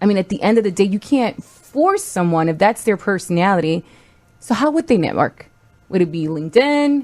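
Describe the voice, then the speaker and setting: A woman at a fairly quick pace, with a slight non-native accent and very wide pitch swings. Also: medium pitch for a woman. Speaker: podcast co-host. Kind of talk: casual chat.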